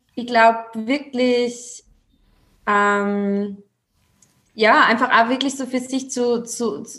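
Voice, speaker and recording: Speaking very slowly with long, frequent pauses, a woman with an Austrian accent uses a fairly high pitch and ordinary pitch variation. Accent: Austrian dialect, noticeable. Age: 20s. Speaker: female empowerment coach. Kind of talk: casual chat.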